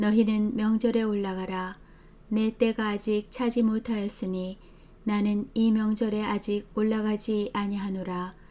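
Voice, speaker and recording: In a monotone, flat intonation, a woman speaks at a fairly slow pace with a fairly high pitch and a dark, mellow tone. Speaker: Bible reader. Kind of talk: scripture reading. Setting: home recording.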